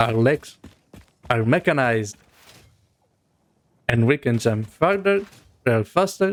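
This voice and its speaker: The speaker, with a non-native accent, talks at a fairly slow pace with long, frequent pauses, very even loudness and very wide pitch swings. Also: man. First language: not English. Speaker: gaming video creator. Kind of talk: gameplay commentary. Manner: casual.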